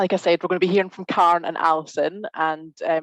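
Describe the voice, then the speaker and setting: A woman speaks with a Scottish accent. The sound is dry and close, with no echo. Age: 30s. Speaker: webinar host. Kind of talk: webinar hosting. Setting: video call.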